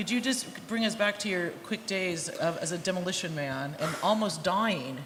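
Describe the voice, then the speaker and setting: Amid noticeable background noise and audible room echo, a woman with an American accent speaks at a moderate pace and medium pitch with lively intonation. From United States. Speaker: interviewer, author and academic. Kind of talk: interview. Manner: loud.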